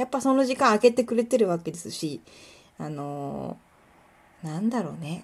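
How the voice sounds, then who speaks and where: Vocal fry and big swings in loudness on a very clean recording with a silent background. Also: woman. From Kuwana, Mie, Japan. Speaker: podcaster and illustrator. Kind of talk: casual solo monologue. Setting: home recording, nighttime. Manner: fast, run-on speech.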